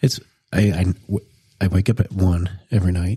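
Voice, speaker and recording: A man's fairly low, somewhat breathy voice with a dark, mellow tone, at a moderate pace, in a dry, close sound with no echo. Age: 40s. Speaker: podcast co-host. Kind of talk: casual chat.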